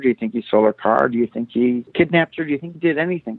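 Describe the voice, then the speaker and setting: A man is speaking. He has an Upper Midwest accent. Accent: Upper Midwest American. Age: 50s. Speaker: former prosecutor. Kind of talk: interview.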